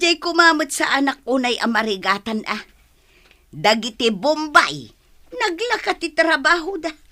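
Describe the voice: A woman uses a put-on character voice, high-pitched with big swings in pitch. Her tone is bright and sharp, and her pace fairly slow.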